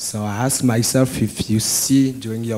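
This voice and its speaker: A man's dark, mellow tone in a French accent, fairly slow and medium-pitched, with monotone, flat intonation. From France. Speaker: student asking a question. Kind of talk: audience question at symposium. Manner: halting.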